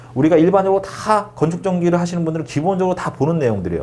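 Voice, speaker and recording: Noticeable background noise plus an audible echo from the room. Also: man. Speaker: exam prep instructor. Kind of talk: lecture. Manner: fast.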